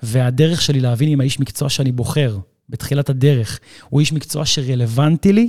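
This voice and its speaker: A man with a dark, mellow, somewhat breathy tone and medium pitch speaks at a moderate pace with ordinary pitch variation, the sound dry and close with no echo. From Israel. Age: 30s. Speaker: fitness trainer. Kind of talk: casual chat.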